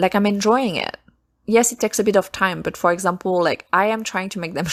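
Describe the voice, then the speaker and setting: A woman with a French accent at a moderate pace, on a very clean recording with a silent background. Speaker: self-published author and podcast host. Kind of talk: casual solo podcast talk. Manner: halting, frequent self-corrections.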